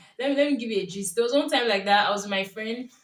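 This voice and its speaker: In a Nigerian accent, a woman speaks with an animated tone, a fairly high pitch and ordinary pitch variation. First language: Yoruba. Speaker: YouTuber, lifestyle vlogger. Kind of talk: casual vlog monologue.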